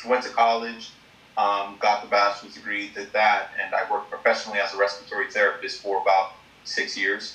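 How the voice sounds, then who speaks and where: A man with an American accent at a fairly quick pace over noticeable background noise. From New York, Long Island. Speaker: real estate investor. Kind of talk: casual interview.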